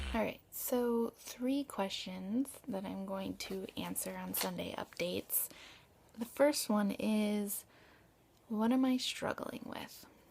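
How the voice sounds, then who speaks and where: Someone is whispering. The pace is very slow. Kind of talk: personal video diary update. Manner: whispered.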